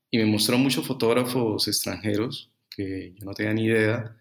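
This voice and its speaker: Delivered at a moderate pace in a flat monotone, the speech comes through a very clean recording with a silent background. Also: man. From Colombia, Bucaramanga. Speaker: fashion photographer. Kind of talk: interview.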